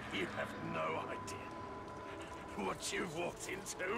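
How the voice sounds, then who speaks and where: A man does a put-on character voice at a fairly slow pace. Loud background noise fills the clip. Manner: very slow, ominous.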